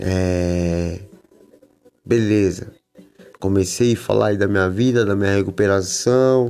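Very slowly and with long, frequent pauses, a man speaks at a fairly low pitch with very even loudness and fairly even intonation. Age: 40s. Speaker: skateboarder and author in addiction recovery. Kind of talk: casual monologue podcast. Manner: slangy, filler-heavy.

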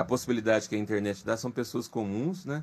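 A man talking at a very fast pace. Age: 40s. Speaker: podcast host. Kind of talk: casual interview chat.

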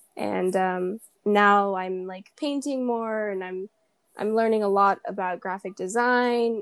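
A woman with a plain, everyday voice at medium pitch speaks with fairly even intonation in a very clean, dry, close recording with a silent background and no echo. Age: 20s. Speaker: young podcast host, painter. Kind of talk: casual chat. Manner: chatty, many fillers and laughs.

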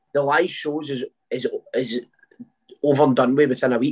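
In a Scottish accent, a man talks at a fairly quick pace with a fairly high pitch. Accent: Scottish, Lanarkshire. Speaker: singer. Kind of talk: casual chat interview. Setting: video call.

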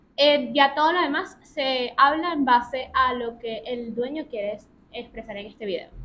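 In a raised, projected voice, a woman speaks high in pitch at a fairly slow pace, with ordinary pitch variation and big swings in loudness. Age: 20s. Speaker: journalist and food content creator. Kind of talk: interview.

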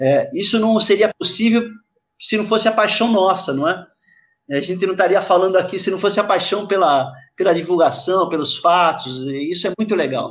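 A man with a high voice talks at a moderate pace with ordinary pitch variation. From Santos, São Paulo state, Brazil. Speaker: surf historian and surfboard maker. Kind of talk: live podcast discussion.

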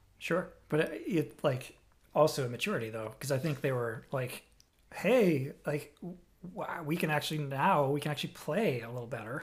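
Somewhat breathy and fairly high in pitch, a man talks at a moderate pace on a very clean recording with a silent background. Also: ordinary pitch variation. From Boston area, Massachusetts. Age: 40s. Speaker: podcast host and drummer. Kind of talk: casual chat. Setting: at home.

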